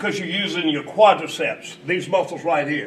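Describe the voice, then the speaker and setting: A man speaks over noticeable background noise. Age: 60s. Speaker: company founder demonstrating fitness machine. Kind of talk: coaching demonstration. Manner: instructive, encouraging.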